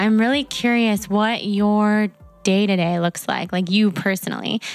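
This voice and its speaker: Music plays in the background as a woman speaks. Her pitch is medium and her intonation fairly even. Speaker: podcast host and blogger. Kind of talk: podcast intro monologue and interview.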